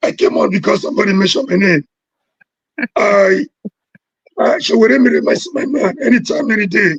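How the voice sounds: In a put-on character voice, a man speaks hoarse and raspy at a high pitch, with very wide pitch swings, a moderate pace and long, frequent pauses.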